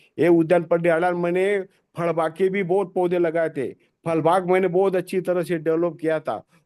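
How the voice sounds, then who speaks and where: A man speaks in a high pitch with a dark, mellow tone. His intonation is monotone and flat, and his pace is moderate. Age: 60s. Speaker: tree planter and farmer activist. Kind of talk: webinar talk. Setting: video call. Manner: halting, with frequent self-corrections.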